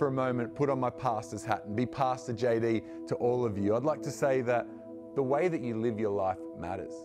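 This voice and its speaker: Clear background music behind a man speaking at a moderate pace. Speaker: youth pastor. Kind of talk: sermon. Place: studio.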